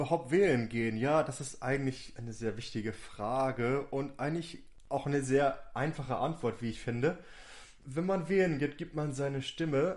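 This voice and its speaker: A man speaks in an unremarkable speaking voice at a fairly high pitch. His pitch variation is ordinary. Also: moderate pace, quiet background. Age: 30s. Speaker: youth party district manager. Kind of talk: casual chat.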